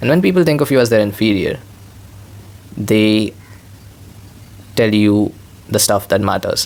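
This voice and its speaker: A man with a non-native accent and fairly low pitch speaks at a moderate pace, with ordinary pitch variation, very even loudness and long, frequent pauses. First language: not English. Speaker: vlogger. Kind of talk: casual monologue. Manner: rambling, repetitive filler.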